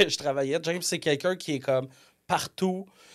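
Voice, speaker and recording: Captured on a very clean recording with a silent background, a man with a fairly high pitch speaks at a fairly quick pace with ordinary pitch variation. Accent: Quebec. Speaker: software company co-owner. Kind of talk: casual podcast interview. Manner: loud.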